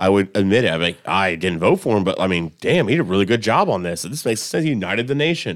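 A man speaks very fast at a fairly low pitch with lively intonation. The recording is very clean, with a silent background. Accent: American. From Columbus, Indiana, US Midwest. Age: 30s. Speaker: cook. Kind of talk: casual chat. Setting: studio.

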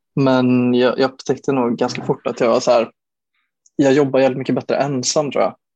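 A man speaks at medium pitch in a monotone, flat intonation, with a dry, close sound and no echo. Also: moderate pace, very even loudness. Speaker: bedroom pop musician. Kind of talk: casual interview. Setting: remote recording over Zoom. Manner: halting, many fillers and repeated words.

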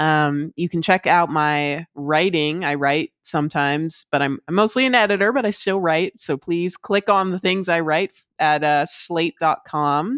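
A woman with a normal speaking voice talks at a fairly slow pace and fairly low pitch, with ordinary pitch variation and hardly any pauses. The recording is very clean with a silent background, and the sound is dry and close with no echo. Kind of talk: casual chat.

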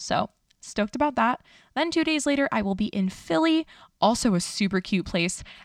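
A woman speaks in an American accent with an animated tone. Her pitch swings very widely. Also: dry, close sound with no echo, very clean recording, silent background. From New York City (Astoria, Queens). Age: 30s. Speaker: dietitian podcast host. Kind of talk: casual solo podcast monologue.

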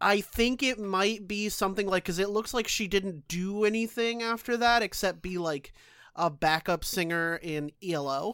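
A plain, everyday voice with ordinary pitch variation at a moderate pace, in a very clean recording with a silent background. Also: woman, medium pitch for a woman. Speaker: podcast co-host. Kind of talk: casual banter, podcast chat. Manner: joking, playful.

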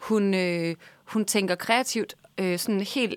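This is an unremarkable speaking voice with ordinary pitch variation. The recording is very clean, with a silent background. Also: woman. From Denmark, Vejle. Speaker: baking show winner, cookbook author and blogger. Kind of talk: casual chat.

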